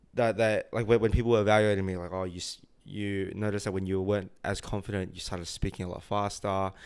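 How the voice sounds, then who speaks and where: Speaking at a very fast pace with hardly any pauses, a man with an Australian accent talks in a fairly low, monotone voice with flat intonation over a very clean recording and a silent background. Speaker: tech sales worker. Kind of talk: casual chat. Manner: many filler words.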